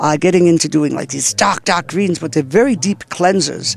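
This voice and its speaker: A man's high-pitched voice, animated in tone, with lively intonation. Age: 60s. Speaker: health and wellness expert. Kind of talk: interview. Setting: festival.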